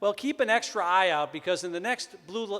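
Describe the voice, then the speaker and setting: A man with a high pitch and a Wisconsin accent. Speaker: event emcee, speech professor. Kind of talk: ceremony emcee address.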